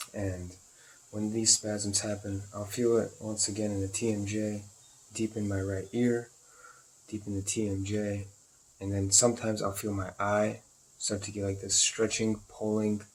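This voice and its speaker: Somewhat breathy, a man speaks at a moderate pace in a monotone with flat intonation. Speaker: video blogger sharing chronic pain symptoms. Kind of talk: personal symptom vlog. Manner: low tone or whispering at times; halting.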